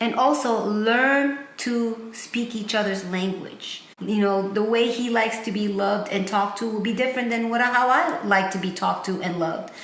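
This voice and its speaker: Over noticeable background noise and audible room echo, a woman with a non-native accent speaks at a moderate pace, her fairly high voice showing ordinary pitch variation. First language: not English. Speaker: married couple relationship vlogger. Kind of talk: casual advice chat.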